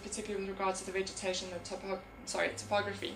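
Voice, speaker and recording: A woman talks at a very fast pace. Audible room echo and noticeable background noise fill the recording. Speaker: conservation researcher. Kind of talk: conference talk.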